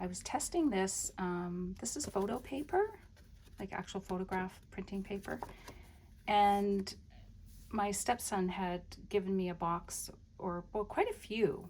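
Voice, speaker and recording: A woman with medium pitch, ordinary pitch variation, a somewhat breathy quality, and a relaxed tone. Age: 60s. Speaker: crafter / journaling video creator. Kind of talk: casual show-and-tell flip-through. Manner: relaxed, meandering with many fillers.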